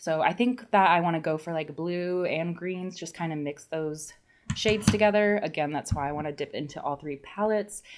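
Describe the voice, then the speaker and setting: Her voice sits at a fairly low pitch as the woman talks at a moderate pace with ordinary pitch variation. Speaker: beauty vlogger. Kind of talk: makeup tutorial chat. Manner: casual, chatty; stumbling over words today.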